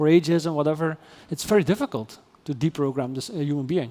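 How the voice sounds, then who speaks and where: A man's fairly quick, fairly even-toned delivery in a Dutch accent. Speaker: AI ethics philosopher. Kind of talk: interview conversation. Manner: halting, many repetitions and fillers.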